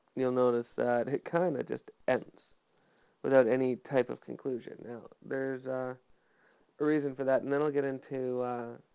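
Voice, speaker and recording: A man's medium-pitched voice at a moderate pace, monotone and flat in intonation. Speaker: vlogger. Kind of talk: personal monologue vlog. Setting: home, alone. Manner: flat, little inflection; hesitant, many fillers.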